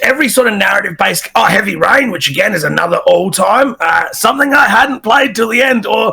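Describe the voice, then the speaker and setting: Raised and projected, a man's high, bright, sharp voice carries an Australian accent, moving at a moderate pace with lively intonation. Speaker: game streamer. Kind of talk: podcast interview. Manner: energetic.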